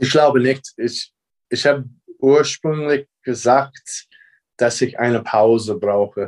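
A man with an American accent speaks at a very slow pace and a medium pitch, his intonation fairly even. Long pauses come often, and the sound is dry and close with no echo. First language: English (speaking German). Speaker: basketball coach. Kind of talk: interview.

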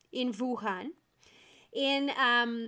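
A woman with a Portuguese accent speaks at a high pitch. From Brazil. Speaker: event planner. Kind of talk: casual interview.

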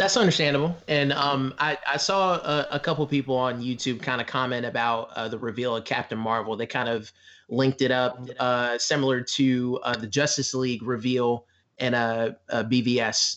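A man of medium pitch, with an unremarkable speaking voice, keeps a moderate pace and ordinary pitch variation. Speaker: guest. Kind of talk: casual chat.

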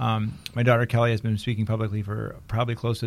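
In monotone, flat intonation, a man with a fairly low pitch races along at a very fast pace on a very clean recording with a silent background. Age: 50s. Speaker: photo industry consultant. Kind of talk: casual interview chat. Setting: studio. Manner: fast talker.

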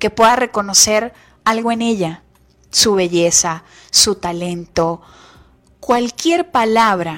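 A woman with a medium-pitched voice and an animated tone talks at a fairly slow pace with ordinary pitch variation, in a very clean recording with a silent background. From Venezuela. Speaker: radio host. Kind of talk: motivational radio talk.

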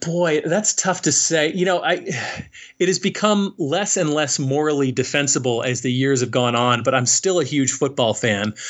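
A man speaks at a moderate pace in a fairly high pitch. His intonation is lively. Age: 40s. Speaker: author. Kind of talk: casual chat. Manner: halting.

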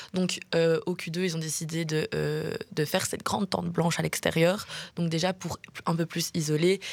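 A woman speaks at a moderate pace with fairly low pitch. Her intonation is monotone and flat. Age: 20s. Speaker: journalism student. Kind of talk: radio interview. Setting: studio.

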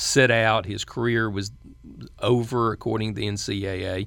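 A man with a Southern US accent speaks at medium pitch. His pace is fairly slow, on a very clean recording with a silent background. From western North Carolina. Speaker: former state supreme court justice. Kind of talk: interview. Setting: studio.

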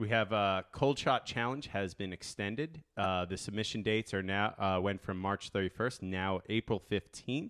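With hardly any pauses, a man talks at a moderate pace in a fairly low pitch with ordinary pitch variation, the sound dry and close with no echo. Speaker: surf podcast host. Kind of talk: casual chat. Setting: studio. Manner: animated.

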